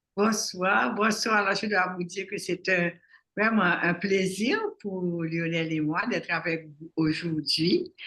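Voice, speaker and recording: A bright, sharp tone at a very slow pace with ordinary pitch variation. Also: woman, medium pitch for a woman. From Haiti, Port-au-Prince. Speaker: psychologist. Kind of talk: interview. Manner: halting, with repetitions.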